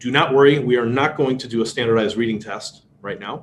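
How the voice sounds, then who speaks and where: A man with a Chicago accent talks at a moderate pace and a medium pitch. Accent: Chicago American English. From US Midwest, Chicago. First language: Polish. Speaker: speed reading instructor. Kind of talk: workshop lecture.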